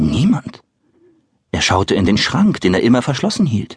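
In a dry, close sound with no echo, a man speaks at a moderate pace in an animated tone, somewhat breathy, his pitch swinging very widely. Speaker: audiobook narrator and voice artist. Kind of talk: dramatic audiobook narration for children. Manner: animated, storytelling with vivid character voices.

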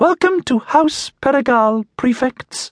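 Putting on a squeaky character voice at an extremely high pitch, a man speaks at a fairly slow pace. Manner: polite, welcoming.

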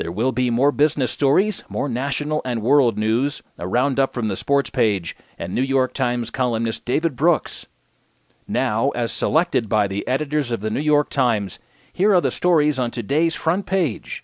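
This is a normal speaking voice at a moderate pace. The sound is dry and close, with no echo. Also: man, medium pitch for a man. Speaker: audiobook newsreader. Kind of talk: news reading, scripted digest of newspaper articles. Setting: studio audiobook recording. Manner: formal, steady, even-paced newsreader delivery.

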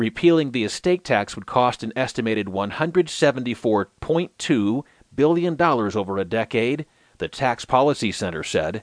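A man at a medium pitch uses lively intonation in an unremarkable speaking voice, recorded with a dry, close sound with no echo. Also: quiet background. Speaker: audiobook newsreader. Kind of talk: scripted news digest narration, read aloud. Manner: formal, even and measured, steady newsreader delivery; neutral, clear, unemotional.

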